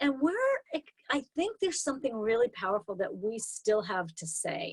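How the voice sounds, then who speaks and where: Dry and close with no echo, a woman's fairly high voice sounds animated and swings very widely in pitch. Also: moderate pace. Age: 60s. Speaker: intuitive coach and storyteller. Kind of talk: interview.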